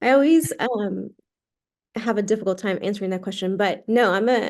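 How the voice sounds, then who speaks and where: A woman's medium-pitched voice in a Spanish accent, dark and mellow in tone, with ordinary pitch variation, over a quiet background. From Puerto Rico, moved to Texas at ten. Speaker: physician assistant and aesthetic injector. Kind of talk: podcast interview. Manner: animated.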